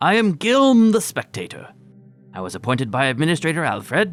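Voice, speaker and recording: A man's put-on character voice, high-pitched and fairly quick, with very wide pitch swings over faint music in the background. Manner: self-introducing, formal.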